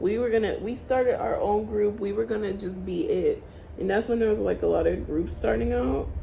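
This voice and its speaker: A woman talks at a fairly quick pace in an animated tone. Noticeable background noise and audible room echo surround her. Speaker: beauty vlogger, aspiring makeup artist. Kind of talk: casual vlog chat while doing makeup. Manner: loud; rambling, animated.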